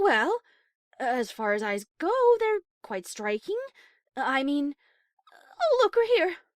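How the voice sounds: Using a put-on character voice, a woman speaks slowly with a high pitch and big pitch swings, in a dry, close sound with no echo on a very clean recording with a silent background.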